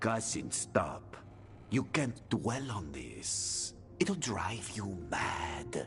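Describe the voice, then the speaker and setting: A man's put-on character voice, fairly low and very slow, over clear music in the background. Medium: short film. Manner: evasive.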